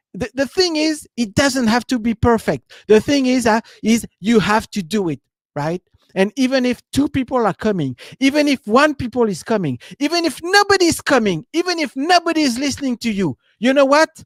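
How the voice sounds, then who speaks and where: In a French accent, a man speaks at a moderate pace with an extremely high pitch and very wide pitch swings, the sound dry and close with no echo. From France. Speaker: business coach. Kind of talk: live stream talk. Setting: live stream. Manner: halting, many fillers.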